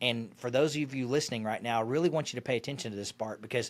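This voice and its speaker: Against a silent background in a very clean recording, a man talks very fast at a medium pitch with ordinary pitch variation. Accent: slight Arkansas. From Arkansas. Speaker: financial advisor and radio host. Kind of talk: interview.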